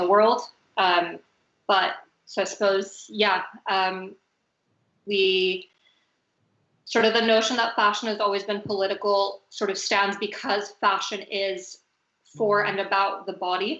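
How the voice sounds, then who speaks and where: A woman with an American accent speaks at a medium pitch in a monotone, flat delivery, going fairly slowly and leaving long, frequent pauses. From US, Venezuelan family. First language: Spanish. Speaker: fashion designer, talk moderator. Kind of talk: panel discussion on video call. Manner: hesitant, many fillers.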